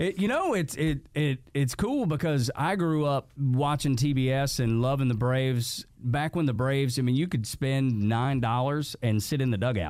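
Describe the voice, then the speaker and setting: A man speaks in an unremarkable speaking voice at a medium pitch, with ordinary pitch variation. His pace is moderate, his loudness very even, with hardly any pauses. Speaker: podcast host. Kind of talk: casual interview chat.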